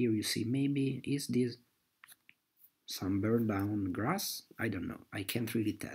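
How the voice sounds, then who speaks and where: A somewhat breathy man at medium pitch and a fairly slow pace. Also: ordinary pitch variation. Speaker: amateur map analyst. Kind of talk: screen-recorded map explanation. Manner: hesitant, with frequent fillers.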